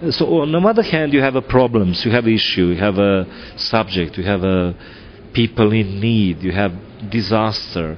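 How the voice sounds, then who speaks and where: A man's fairly low voice with a Serbian accent, lively intonation and a moderate pace. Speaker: film director. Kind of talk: interview. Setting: film festival. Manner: halting, many fillers.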